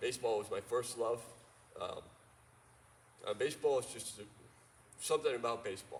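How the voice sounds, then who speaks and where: A man talks in a New York accent at a fairly quick pace. His speech has long, frequent pauses. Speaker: sports commentator, speaking to students. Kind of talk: talk to a high school audience. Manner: casual, joking.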